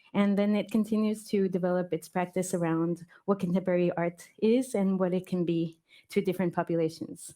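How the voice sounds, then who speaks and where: A dark, mellow tone in a Spanish accent, with fairly even intonation and very even loudness. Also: woman. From Mexico. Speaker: artistic researcher. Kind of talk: panel talk. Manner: hesitant, many fillers.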